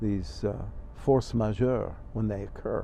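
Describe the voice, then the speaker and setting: This man's voice has a dark, mellow tone and some vocal fry. His intonation is lively. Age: 70s. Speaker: retired rabbi. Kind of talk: interview. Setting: outdoors on a bench. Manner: reflective, halting with many fillers.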